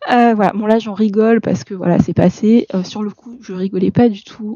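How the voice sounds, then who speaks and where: A soft-spoken woman with a fairly high pitch talks at a moderate pace, her intonation fairly even but her loudness swinging widely. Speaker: art vlogger. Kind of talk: casual vlog chat. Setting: at home desk at night. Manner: hesitant, many fillers.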